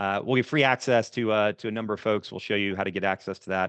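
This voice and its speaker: This man talks at a very fast pace. His pitch is fairly low and his intonation fairly even. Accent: American. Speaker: business owner and speaker. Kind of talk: webinar presentation. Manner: many fillers.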